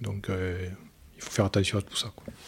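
The somewhat breathy voice comes through on a very clean recording with a silent background. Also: man. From Lozère, southern France. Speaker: amateur ocean rower, petrochemical manager. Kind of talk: interview. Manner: halting.

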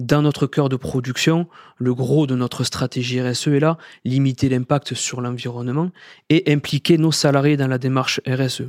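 Speaking at a fairly slow pace, a man with a medium pitch keeps his intonation fairly even in a dry, close sound with no echo. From southern France, Sète. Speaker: corporate sustainability director. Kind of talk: interview.

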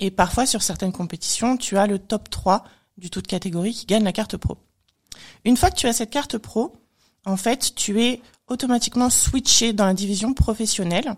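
A woman speaks at a moderate pace and a fairly high pitch, somewhat breathy. Long, frequent pauses break up her speech. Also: ordinary pitch variation. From France. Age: 30s. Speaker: bodybuilding athlete. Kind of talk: casual chat.

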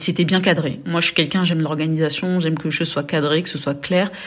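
A woman speaks at a fairly low pitch. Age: 30s. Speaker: podcaster. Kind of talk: testimony. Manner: halting.

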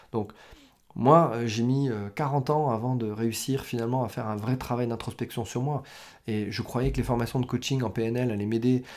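A man speaks at a moderate pace with medium pitch and fairly even intonation. The recording is very clean, with a silent background. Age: 40s. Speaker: business coach. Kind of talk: solo podcast monologue. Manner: hesitant, many fillers.

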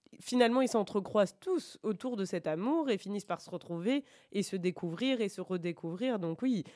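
Against a quiet background, a woman's dark, mellow tone carries ordinary pitch variation in a dry, close sound with no echo. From France, Bordeaux. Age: 40s. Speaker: radio administrator and book reader guest. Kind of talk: interview about a book. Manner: hesitant, many fillers.

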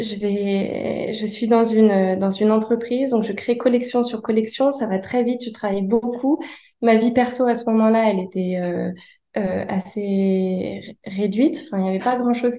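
A woman with a dark, mellow tone and a fairly high pitch speaks fairly slowly, her intonation fairly even. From France, Annecy. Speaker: painter and designer. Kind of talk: interview. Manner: hesitant, many fillers.

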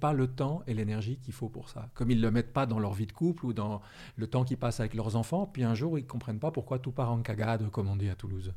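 A man's somewhat breathy voice with a dark, mellow tone, medium pitch and ordinary pitch variation, in a very clean recording with a silent background. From France or Switzerland. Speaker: author and trainer. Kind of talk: interview conversation.

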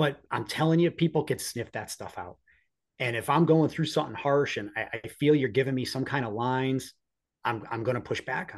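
A man speaks with an American accent in a plain, everyday voice. His pitch is medium, with ordinary variation and a fairly quick pace. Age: 40s. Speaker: police officer. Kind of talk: casual interview.

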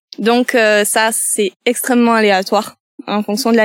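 A woman speaks in an ordinary speaking voice, fairly high-pitched and at a fairly slow pace. Her intonation stays fairly even on a very clean recording with a silent background. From Landes, southwestern France. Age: 30s. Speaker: nature guide. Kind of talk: interview.

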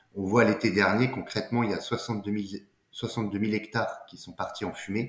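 Speaking at a moderate pace, a man keeps a monotone, flat intonation while his loudness swings widely. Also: fairly low pitch for a man. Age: 30s. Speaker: entrepreneur, company co-founder. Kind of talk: casual interview. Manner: halting, frequent repetitions and fillers.

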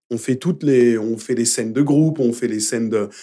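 The man's voice has a dark, mellow tone at a medium pitch. He speaks at a moderate pace with ordinary pitch variation. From Paris, Belleville. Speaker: musical theatre performer and dub actor. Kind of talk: casual interview. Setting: studio.

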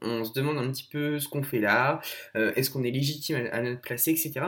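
An unremarkable speaking voice from a man, with ordinary pitch variation. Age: 20s. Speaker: blogger and content creator. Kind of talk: recorded advice message.

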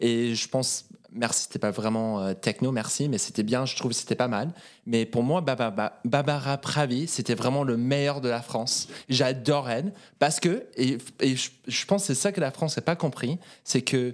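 His pitch shifts in an ordinary way. The man talks at a fairly slow pace. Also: medium pitch for a man. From Norway, Oslo. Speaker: guest. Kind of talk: casual chat. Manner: halting.

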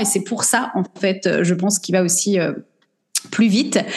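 Audible room echo around a woman's medium-pitched voice. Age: 40s. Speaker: business coach. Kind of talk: interview.

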